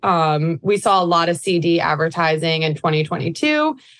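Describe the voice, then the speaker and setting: This woman has a normal speaking voice with an American accent. Her pitch is fairly low, with ordinary variation. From New York. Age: 30s. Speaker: digital advertising executive. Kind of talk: casual interview.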